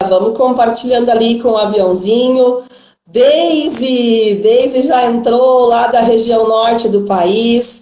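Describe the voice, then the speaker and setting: Very slowly, a woman speaks with a fairly high pitch and fairly even intonation. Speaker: swimming teacher and live-stream interviewer. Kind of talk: live-stream hosting. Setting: online live stream.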